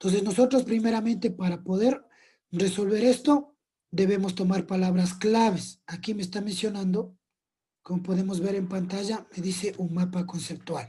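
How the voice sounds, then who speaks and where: A man's high voice, dark and mellow in tone, with fairly even intonation. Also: moderate pace. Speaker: teacher. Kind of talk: lecture.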